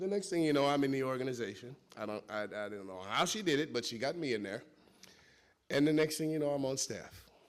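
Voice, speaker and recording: A man with a Chicago accent, fairly high-pitched, very fast and with lively intonation. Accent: Chicago American English. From US Midwest, Chicago. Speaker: former cult member. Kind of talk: testimony. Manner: halting.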